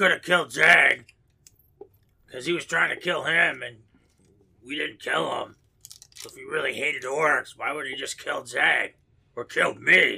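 Using a put-on character voice at a fairly high pitch, a man speaks with long, frequent pauses. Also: moderate pace. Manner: blunt, persuasive, rambling.

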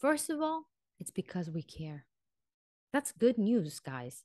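A woman with a non-native accent speaks in an animated tone with very wide pitch swings against a quiet background. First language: not English. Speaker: vocal and mindset coach. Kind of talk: solo podcast talk.

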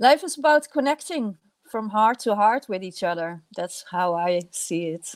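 A woman with a Dutch accent speaks at a very slow pace and a medium pitch. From Netherlands. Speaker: filmmaker. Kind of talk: interview. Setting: video call. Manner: halting.

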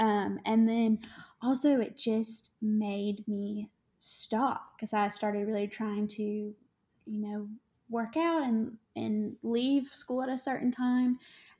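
The speaker talks at a very slow pace with fairly even intonation and a dark, mellow, somewhat breathy tone. The recording is very clean, with a silent background. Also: woman, fairly high pitch for a woman. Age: 20s. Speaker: special education teacher. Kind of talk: casual interview. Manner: hesitant with fillers.

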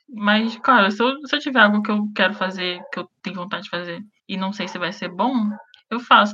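A woman with a plain, everyday voice talks at medium pitch and a fairly quick pace, with ordinary pitch variation and big swings in loudness. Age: 20s. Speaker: guest. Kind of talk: casual chat.

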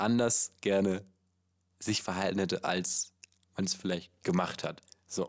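A man's voice with ordinary pitch variation in a very clean recording against a silent background. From Hamburg. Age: 20s. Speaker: podcast host. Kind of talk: casual chat. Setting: outdoors. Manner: animated.

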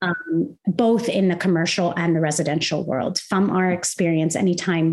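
Fairly even intonation at a moderate pace, over noticeable background noise. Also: woman. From Kuwait. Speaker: interior designer and business owner. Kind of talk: casual interview.

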